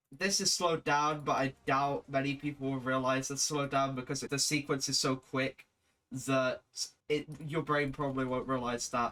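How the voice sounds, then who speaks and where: A man with a British accent has a fairly high, bright, sharp voice and fairly even intonation. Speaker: video editor / gaming content creator. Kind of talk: casual screen-recorded tutorial commentary. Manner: casual, swearing.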